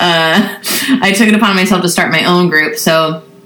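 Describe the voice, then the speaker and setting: A woman with an American accent speaks in a fairly low voice with fairly even intonation. Audible room echo and noticeable background noise are present. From Southern California. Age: 30s. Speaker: singer-songwriter. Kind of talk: casual chat.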